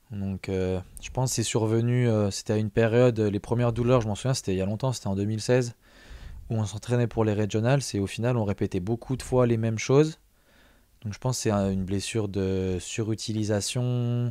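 His dark, mellow voice moves at a fairly quick pace with fairly even intonation. The man's sound is dry with no echo, over a quiet background. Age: younger than 42. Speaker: strength athlete; podcast guest or host. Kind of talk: casual chat. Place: studio. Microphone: studio mic.

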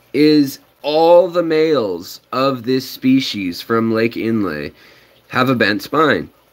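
Lively intonation marks a man's very slow speech. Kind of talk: casual vlog chat. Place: home room. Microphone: phone near.

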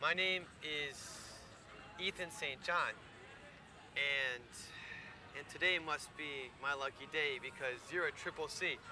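A man with a bright, sharp tone speaks at a very slow pace with long, frequent pauses and fairly even intonation, in a dry sound with no echo over noticeable background noise. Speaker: actor playing awkward suitor. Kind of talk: scripted dialogue. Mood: nervous, awkward, eager. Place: garden.

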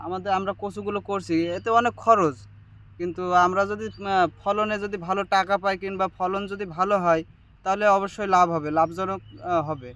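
On a very clean recording with a silent background, a man with a high pitch speaks in a bright, sharp tone with fairly even intonation. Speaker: part-time farmer. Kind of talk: interview.

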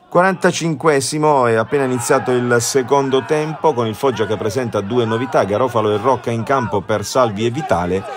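Delivered at a moderate pace with ordinary pitch variation and hardly any pauses, the speech comes over noticeable background noise. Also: man, medium pitch for a man. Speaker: sports commentator. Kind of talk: live-style football match commentary over highlights footage, voiced-over. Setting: voice-over recorded for highlights video. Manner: partisan and animated, dramatic on goals, critical of Foggia's performance.

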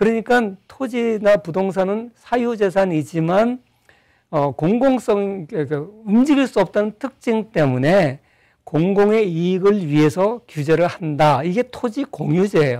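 A man with a high voice speaks at a fairly slow pace against a quiet background. His tone is dark and mellow, and his intonation is lively. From South Korea. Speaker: professor. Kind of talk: interview, lecture-like explanation. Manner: explanatory, articulate. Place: studio. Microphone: lapel.

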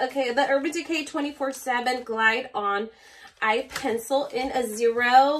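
A woman speaks in a raised, projected voice. Light background noise can be heard. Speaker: beauty vlogger. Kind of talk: unboxing review. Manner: animated. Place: home room. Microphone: phone near.

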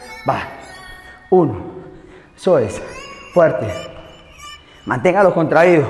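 Audible room echo and light background noise are present in the clip. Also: man. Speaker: fitness instructor. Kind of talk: workout coaching cues.

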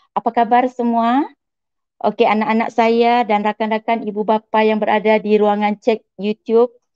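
A woman speaks at a moderate pace with a dark, mellow tone and flat, monotone intonation. The sound is dry with no echo, over a quiet background. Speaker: school counselor, moderator; moderator. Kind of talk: moderating webinar. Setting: online webinar. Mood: warm, cheerful. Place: home room. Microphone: earbuds.

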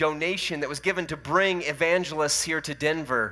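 Speaking at a moderate pace against a quiet background, a man uses a bright, sharp tone and fairly even intonation. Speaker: lead pastor. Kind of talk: sermon. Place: church. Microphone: headset.

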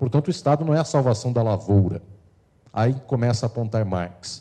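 A man's medium-pitched voice, dark and mellow in tone and somewhat breathy, over a quiet background. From Brazil. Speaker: law lecturer. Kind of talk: lecture. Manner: formal. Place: hall. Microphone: handheld.

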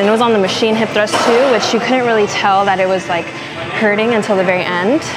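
A woman talks at a fairly quick pace. Loud background noise is present. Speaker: fitness vlogger. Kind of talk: casual vlog chat. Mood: relaxed, slightly exasperated. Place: gym. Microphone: lapel.

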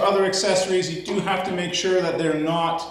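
A man's high-pitched voice with audible room echo. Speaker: tractor owner. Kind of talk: tutorial. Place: garage. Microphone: camera far.

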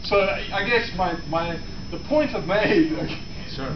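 A man's speech comes at a moderate pace, with noticeable background noise around it. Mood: jokey, mildly argumentative. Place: office. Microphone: camera far.

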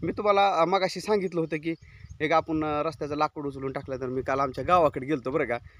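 With an ordinary speaking voice, a man speaks at a fairly high pitch with ordinary pitch variation, in a dry, close sound with no echo. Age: 40s. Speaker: goat farmer and YouTuber. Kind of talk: casual vlog walkthrough. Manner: informal conversational.

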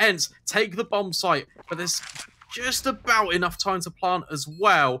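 A man's raised, projected voice, high in pitch, with a bright, sharp and animated tone at a fairly slow pace. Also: ordinary pitch variation. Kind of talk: esports match commentary. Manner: animated, excitable play-by-play.

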